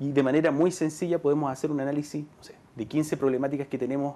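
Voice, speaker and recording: A man's fairly high-pitched voice carries a dark, mellow tone. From Chile. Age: 30s. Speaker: local politician. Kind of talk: TV interview. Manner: halting, with frequent fillers. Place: studio.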